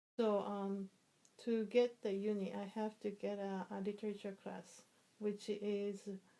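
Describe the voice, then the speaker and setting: Fairly slow, monotone speech from a woman with a Japanese accent, medium in pitch, dark and mellow in tone, with flat intonation. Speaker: interviewee, immigrant mother. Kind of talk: interview. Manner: halting, with many fillers.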